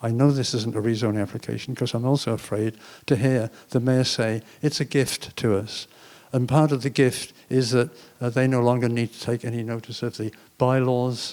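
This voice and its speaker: A man talks in a flat, monotone delivery with an English accent. The recording is very clean, with a silent background. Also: medium pitch for a man, moderate pace. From England. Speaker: panelist, former city planner. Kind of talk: panel discussion.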